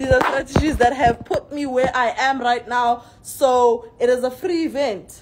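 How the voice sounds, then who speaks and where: A woman with a high pitch and a tired, upbeat tone talks at a fairly slow pace with ordinary pitch variation. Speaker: forex trading seminar host and trader. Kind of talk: pitchman seminar promo. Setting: social media video. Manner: hyped, animated, repeating urgent calls to action; tired but upbeat, emphatic. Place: hall. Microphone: phone near.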